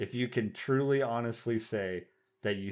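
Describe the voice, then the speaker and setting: A plain, everyday voice with an American accent talks at a fairly slow pace with ordinary pitch variation on a very clean recording with a silent background. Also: man. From Oklahoma. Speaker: podcast co-host. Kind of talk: casual chat.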